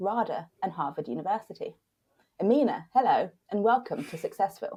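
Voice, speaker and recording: A woman with a British accent speaks in a dark, mellow tone that is somewhat breathy, her intonation lively. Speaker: podcast host. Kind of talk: scripted introduction; casual interview chat. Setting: remote recording.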